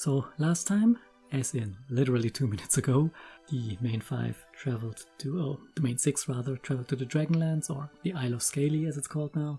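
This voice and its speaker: Fairly quick speech with music in the background. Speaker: reaction video commentator. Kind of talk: casual commentary to camera.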